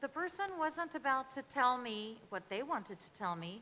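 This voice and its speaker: Bright and sharp in tone, a woman speaks in a raised, projected voice. Her high pitch swings very widely. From France. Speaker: researcher. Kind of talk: panel talk.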